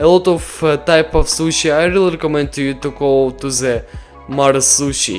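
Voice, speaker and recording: Music plays behind a man speaking in a Russian accent. His pitch is fairly high, with ordinary pitch variation at a moderate pace. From Ukraine. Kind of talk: casual talk to camera.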